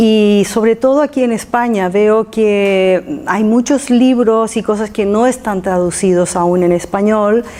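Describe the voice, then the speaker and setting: A woman with a non-native accent speaks in a fairly high voice with a dark, mellow tone, ordinary pitch variation and very even loudness. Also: fairly slow pace. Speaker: lecturer on archaeology mysteries. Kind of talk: public talk. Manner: halting, with fillers and repetitions.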